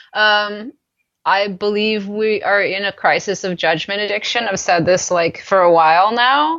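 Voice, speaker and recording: A normal speaking voice moves at a fairly slow pace with ordinary pitch variation. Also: woman. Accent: American. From United States. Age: 30s. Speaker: podcast guest. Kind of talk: interview conversation. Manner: casual, many fillers.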